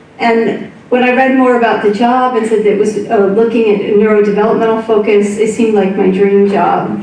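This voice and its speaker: Speaking at a fairly quick pace with hardly any pauses, a woman with an American accent keeps a monotone, flat intonation at a fairly high pitch, with noticeable background noise and audible room echo. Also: very even loudness. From US, upstate New York. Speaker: research professor. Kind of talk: public lecture. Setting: club hall with audience.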